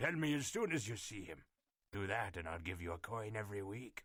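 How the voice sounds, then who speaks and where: In a raspy, put-on character voice, a man talks at a fairly quick pace and fairly low pitch with lively intonation. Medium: audio drama. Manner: gruff.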